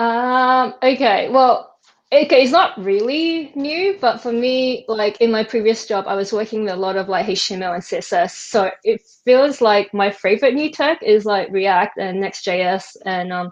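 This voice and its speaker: With an Australian accent, a woman speaks at a moderate pace in a fairly high pitch with lively intonation. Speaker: web developer. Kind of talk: casual chat.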